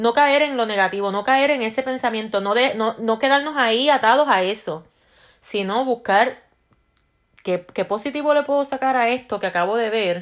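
This is a woman with a fairly high pitch. Her pitch varies in an ordinary way. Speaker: self-help video host. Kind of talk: casual monologue. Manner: fast; halting, many repeated words.

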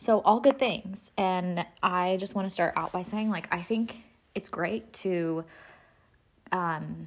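Medium pitch from a female speaker, with ordinary pitch variation. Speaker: faith podcast host. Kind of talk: casual solo talk. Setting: home, sitting on living room floor. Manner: hyper from caffeine.

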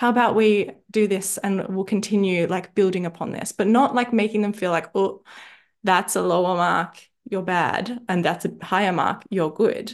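Against a quiet background, a woman speaks at a moderate pace and medium pitch. She has an unremarkable speaking voice with fairly even intonation. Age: 30s. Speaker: nutritionist and mindset coach podcast host. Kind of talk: coaching talk.

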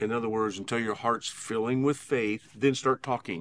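An unremarkable speaking voice from a man, medium in pitch, moderate in pace, with fairly even intonation, on a very clean recording with a silent background. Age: 60s. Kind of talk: conversational Bible teaching. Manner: earnest, steady, exhortative.

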